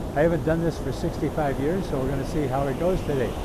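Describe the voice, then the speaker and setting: Over noticeable background noise and audible room echo, a man with an American accent speaks at a fairly high pitch with fairly even intonation. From US Midwest, Michigan. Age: 80s+. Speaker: physician. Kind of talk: casual health talk to camera. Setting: outdoors on a beach.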